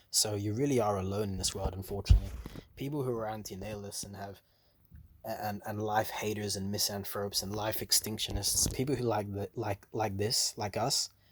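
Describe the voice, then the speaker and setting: Recorded very cleanly against a silent background, a man with a fairly low, somewhat breathy voice speaks in a flat monotone at a fairly quick pace. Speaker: antinatalist video blogger. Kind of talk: casual monologue vlog. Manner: fast; casual, heavy filler words.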